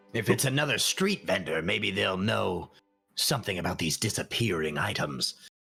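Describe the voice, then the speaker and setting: Very deep, low male speech in a put-on character voice, moderately paced. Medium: actual play. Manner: hesitant, dry, halting with pauses.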